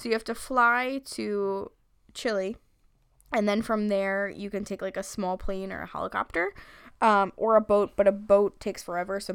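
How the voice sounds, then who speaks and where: A woman with a Long Island accent at a medium pitch, big swings in loudness, very clean recording over a silent background. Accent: Long Island New York. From Long Island, New York. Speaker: podcast host. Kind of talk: casual comedic chat. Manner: joking, crude, animated.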